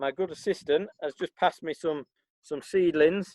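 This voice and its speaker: With a Yorkshire accent, a man speaks in a fairly high pitch. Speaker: farm manager. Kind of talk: tutorial. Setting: outdoors in a garden. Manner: casual, halting with fillers.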